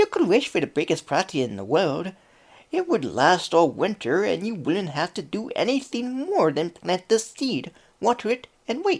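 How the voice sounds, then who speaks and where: A man performs a put-on character voice pitched high. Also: moderate pace. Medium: read story. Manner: wheedling.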